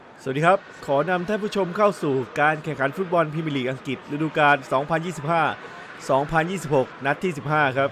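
Over music in the background, a man with a fairly high pitch speaks with ordinary pitch variation. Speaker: football commentator. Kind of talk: football match commentary.

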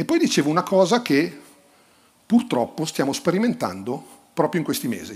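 The man's pitch rises and falls over a very wide range. He keeps a moderate pace. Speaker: sports journalist and book author. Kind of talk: book presentation on stage.

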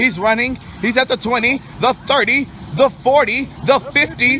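A man talks in a raised, projected voice. The sound is dry with no echo, with light background noise. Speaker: youth trip vlogger. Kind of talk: mock sports commentary. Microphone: phone near.

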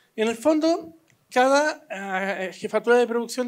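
The pace is fairly slow as a man speaks with very wide pitch swings. The background is quiet. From Chile. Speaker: film director; panelist. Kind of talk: panel discussion. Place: hall. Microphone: handheld.

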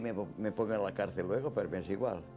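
A man's fairly low voice at a moderate pace, with clear music in the background. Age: 80s+. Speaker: elderly witness recalling his life. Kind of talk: interview answer. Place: home room.

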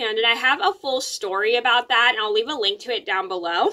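Bright and sharp, a woman's voice takes very wide pitch swings at a moderate pace. Her background is quiet. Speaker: vlogger. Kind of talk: casual vlog chat. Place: home room. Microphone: phone near.

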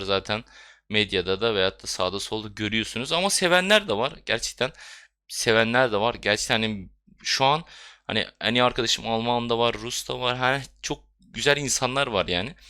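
Captured in a very clean recording with a silent background, a man's bright, sharp, medium-pitched voice moves at a moderate pace with ordinary pitch variation. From Bulgaria and Istanbul, Turkish minority. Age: 20s. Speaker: gaming YouTuber. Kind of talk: casual vlog monologue.

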